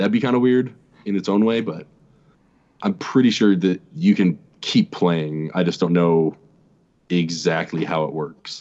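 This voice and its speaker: Pausing long and often, a man speaks in a very deep, low pitch with ordinary pitch variation. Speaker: guest YouTuber. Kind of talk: casual chat.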